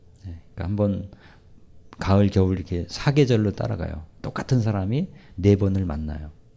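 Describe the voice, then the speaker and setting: In a very deep, low pitch, a man speaks with a dark, mellow, somewhat breathy tone, ordinary pitch variation, and big swings in loudness. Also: moderate pace. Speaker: professor and lecturer. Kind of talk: lecture with audience Q&A. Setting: stage with live audience.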